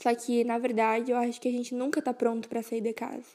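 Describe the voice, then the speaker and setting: A woman's high-pitched voice with a dark, mellow tone at a fairly quick pace, on a very clean recording with a silent background. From southern Brazil, Rio Grande do Sul. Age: 20s. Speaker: podcast host, university student. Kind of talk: personal monologue podcast.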